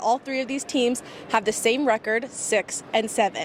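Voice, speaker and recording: A woman speaks in a high voice with ordinary pitch variation. Noticeable background noise can be heard. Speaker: sports reporter. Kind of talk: TV sports broadcast report.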